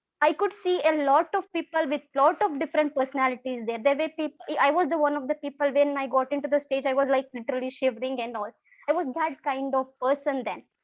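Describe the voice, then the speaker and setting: A woman speaks at a very fast pace in a high voice, with ordinary pitch variation. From India, Karnataka. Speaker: former scholarship student, engineer. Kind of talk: testimony. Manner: halting.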